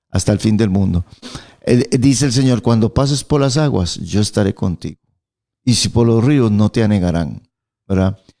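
A man's dark, mellow voice with lively intonation at a moderate pace, on a very clean recording with a silent background. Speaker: pastor. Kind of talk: radio Bible teaching chat. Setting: radio studio.

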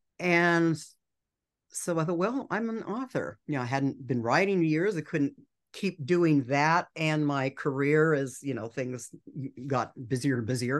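A woman with a very deep, low voice speaks at a fairly slow pace. Her intonation is lively, and the background is quiet. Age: 60s. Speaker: author. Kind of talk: casual chat.

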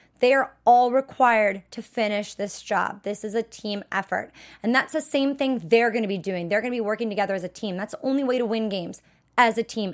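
In a very clean recording with a silent background, an animated woman with an American accent talks at a fairly quick pace, her pitch fairly high with ordinary variation. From Wisconsin. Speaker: TV after-show host. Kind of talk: casual solo commentary.

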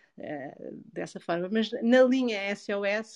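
A woman speaks with a European Portuguese accent. The sound is dry and close, with no echo. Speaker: sexologist and psychologist. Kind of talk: interview. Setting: Clubhouse audio room.

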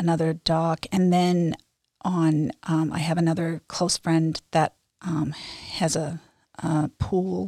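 Delivered at a very slow pace, this dark, mellow voice stays monotone with flat intonation, recorded very cleanly, dry and close with no echo, against a silent background. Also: woman. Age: 60s. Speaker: amateur runner. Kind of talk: interview.

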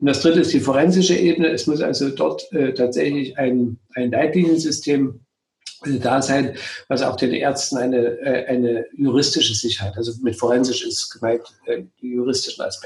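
A man with a plain, everyday voice talks at a moderate pace and a medium pitch, with ordinary pitch variation. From Saxony and Thuringia, eastern Germany. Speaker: gynecologist and obstetrician. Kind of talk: interview.

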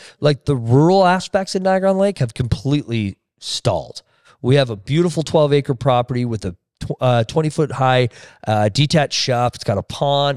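On a very clean recording with a silent background and dry, close sound with no echo, a man with a Canadian accent speaks at a moderate pace in a fairly high pitch, a plain, everyday voice. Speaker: real estate team leader. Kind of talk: casual interview chat.

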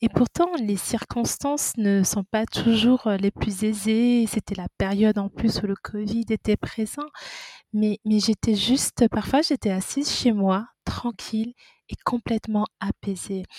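A woman speaks very slowly in a dark, mellow, somewhat breathy tone at fairly high pitch. Her pitch varies in an ordinary way, and the sound is dry and close with no echo. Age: 30s. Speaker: midwife. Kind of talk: testimony.

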